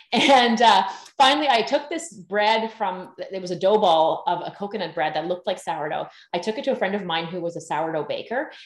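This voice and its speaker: A woman's medium pitch with a Canadian accent, audible room echo, and a quiet background. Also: fairly quick pace. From Canada, northern British Columbia. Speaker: sourdough baking teacher; podcast guest, baking teacher. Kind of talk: casual interview. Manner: animated. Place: home room. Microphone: video call.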